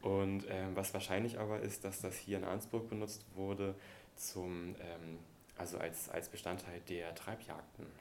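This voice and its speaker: A man's very deep, low voice, monotone and flat, at a fairly slow pace with audible room echo. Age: 30s. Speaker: archaeologist and wilderness educator. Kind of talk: interview conversation.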